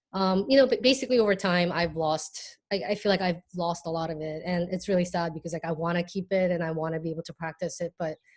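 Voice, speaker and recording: A woman with a Korean accent, medium pitch, fairly quick pace, on a very clean recording with a silent background. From Hong Kong, born in South Korea. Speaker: artist. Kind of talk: casual chat. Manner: halting, many fillers.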